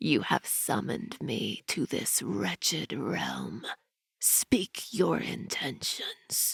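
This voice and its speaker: The speaker puts on a character voice and delivers it very slowly. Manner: commanding.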